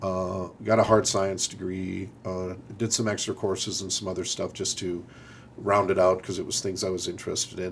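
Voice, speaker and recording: A man with an Upper Midwest accent talks at a fairly quick pace in a fairly low pitch. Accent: Upper Midwest American. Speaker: military officer. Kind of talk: interview. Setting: studio. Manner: halting, many repeated words.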